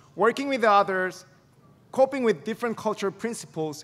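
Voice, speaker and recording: Lively intonation marks this man's speech in a Korean accent. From South Korea. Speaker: graduate student speaker. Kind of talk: commencement speech.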